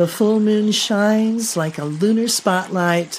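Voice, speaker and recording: Over light background noise, a woman speaks very slowly in a calm, soothing tone. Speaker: color therapist and podcast host; podcast host. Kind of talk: guided meditation narration. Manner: slow, calm, soothing. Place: home room. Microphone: studio mic.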